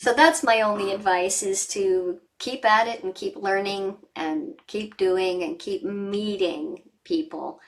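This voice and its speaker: Talking at a very slow pace with hardly any pauses, a woman uses a medium pitch and lively intonation. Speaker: voice actor. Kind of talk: interview answer. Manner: casual, conversational.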